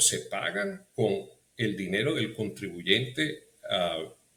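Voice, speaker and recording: Vocal fry runs through this man's bright, sharp tone. He talks at a very slow pace. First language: English (speaking Spanish). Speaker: political commentator. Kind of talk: interview. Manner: halting, many fillers.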